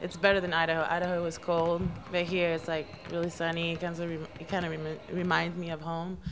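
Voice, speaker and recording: The delivery is fairly quick, with monotone, flat intonation. Audible room echo and noticeable background noise fill the recording. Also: woman, fairly low pitch for a woman. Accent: French. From New Caledonia. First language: French. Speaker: college basketball player. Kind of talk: interview.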